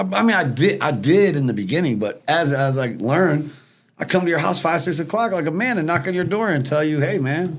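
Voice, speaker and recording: Talking at a fairly quick pace, a man shows vocal fry and very wide pitch swings. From Detroit, US Midwest. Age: 40s. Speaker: former repo man and cannabis business owner. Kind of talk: casual podcast interview, storytelling.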